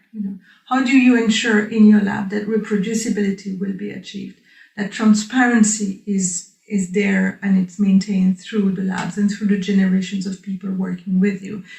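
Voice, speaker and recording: A woman speaks at a moderate pace and medium pitch, somewhat breathy. Her intonation stays flat and monotone while her loudness swings widely. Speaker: research scientist, group leader. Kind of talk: interview.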